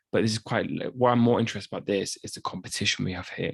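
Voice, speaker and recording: A man's very fast speech at a medium pitch, in a dry, close sound with no echo. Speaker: podcast host. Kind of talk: casual podcast commentary. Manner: halting with repetitions.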